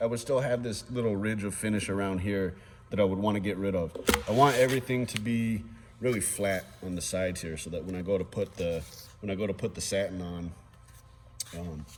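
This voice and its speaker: A man's pitch shifts in an ordinary way while noticeable background noise plays behind him. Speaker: guitar builder. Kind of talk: tutorial. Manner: casual with many fillers.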